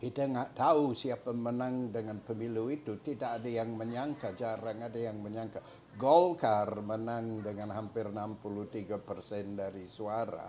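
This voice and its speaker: A man's medium-pitched voice in an English accent, moderate in pace, fairly even in intonation, with hardly any pauses. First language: English (speaking Indonesian). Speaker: historian and academic. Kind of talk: interview. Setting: at his home. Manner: halting.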